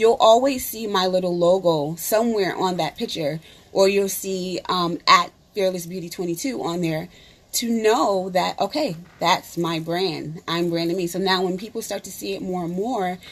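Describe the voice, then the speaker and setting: Ordinary pitch variation at a moderate pace. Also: woman, medium pitch for a woman. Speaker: beauty consultant and makeup artist. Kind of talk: live stream workshop. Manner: hesitant, many fillers.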